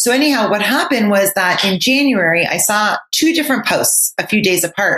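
A woman with a Canadian accent talks at a moderate pace with lively intonation. She has a plain, everyday voice. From Canada, Ottawa. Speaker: author and nonprofit founder. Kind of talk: interview.

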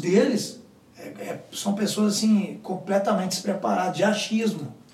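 Noticeable background noise and audible room echo surround this recording. A man speaks at a fairly slow pace. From Minas Gerais, Brazil. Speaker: podcast co-host. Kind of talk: casual chat.

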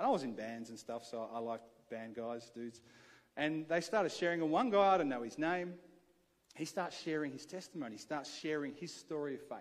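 With an Australian accent, a man talks at a fairly quick pace and with lively intonation, and audible room echo surrounds his voice. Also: fairly high pitch for a man. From Adelaide, South Australia. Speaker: pastor. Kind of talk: sermon. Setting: church.

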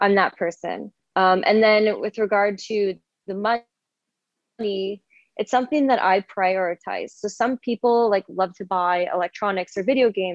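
A woman with a Canadian accent uses a normal speaking voice at medium pitch, speaking at a moderate pace with fairly even intonation in a dry, close sound with no echo. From Canada, rural Ontario. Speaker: travel blogger. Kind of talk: casual interview. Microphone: dodgy audio from bad internet connection.

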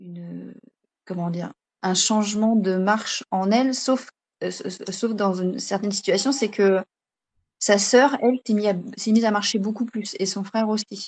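A somewhat breathy woman at medium pitch speaks at a fairly slow pace with long, frequent pauses and fairly even intonation, in a dry, close sound with no echo. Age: 30s. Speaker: stay-at-home mother and naturopathy trainee. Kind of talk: interview.

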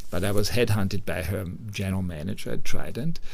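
With an Austrian accent and vocal fry, a man talks at a fairly quick pace with ordinary pitch variation. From Austria, Upper Austria. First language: German. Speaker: hotel managing director. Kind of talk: interview.

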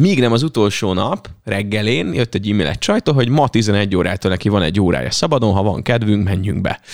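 A man talks at a very fast pace with hardly any pauses. His voice is fairly low, with ordinary pitch variation. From Hungary, Veszprém county (Ajka area). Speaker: radio host. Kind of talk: casual chat.

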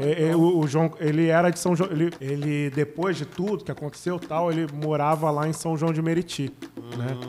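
With a normal speaking voice, a man talks at a moderate pace, his pitch fairly high and his intonation fairly even. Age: 30s. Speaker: podcast co-host. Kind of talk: casual chat.

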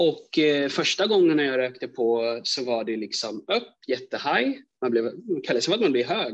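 A man's plain, everyday voice, fairly high in pitch, with lively intonation and a fairly slow pace. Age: 20s. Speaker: aspiring coach and speaker, podcast listener. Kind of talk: personal testimony.

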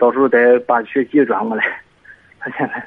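A man talks at a fairly quick pace. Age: 30s. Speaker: parent caller. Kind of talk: call-in advice. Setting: phone call.

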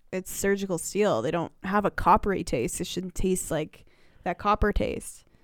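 On a very clean recording with a silent background and a dry, close sound with no echo, a woman speaks at medium pitch and moderate pace with ordinary pitch variation and vocal fry. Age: 20s. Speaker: podcast co-host. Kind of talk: casual chat.

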